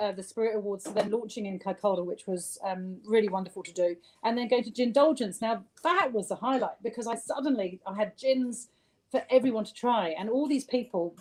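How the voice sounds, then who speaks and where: This voice has a southern English accent and a fairly quick pace. Its pitch shows ordinary variation. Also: woman. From southern England (rural Sussex). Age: 50s. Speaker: gin distiller. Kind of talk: interview.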